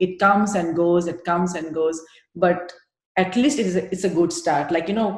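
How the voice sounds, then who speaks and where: With an Indian accent, a woman speaks at a fairly low pitch. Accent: Indian, noticeable. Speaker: yoga teacher trainee. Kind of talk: interview. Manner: hesitant, many fillers.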